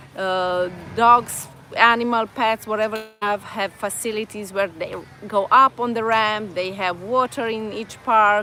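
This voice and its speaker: With music in the background, a woman with a Romanian accent speaks at a fairly slow pace in fairly even intonation. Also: fairly high pitch for a woman. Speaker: vlogger. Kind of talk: live stream chat. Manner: halting.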